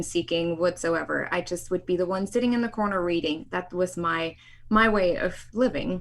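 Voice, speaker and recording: Here a woman speaks with a German accent. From East Germany. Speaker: sociologist and film producer. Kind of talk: interview.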